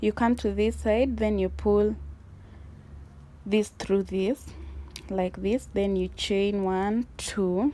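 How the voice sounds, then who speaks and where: A woman with a non-native accent, very slow pace, long and frequent pauses, very even loudness. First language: not English. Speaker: crochet tutorial creator. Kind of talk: tutorial.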